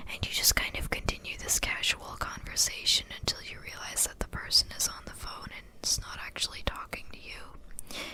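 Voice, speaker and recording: Someone whispers at a moderate pace with hardly any pauses. There is noticeable background noise. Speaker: ASMR creator. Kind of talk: ASMR rambling monologue. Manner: soft-spoken.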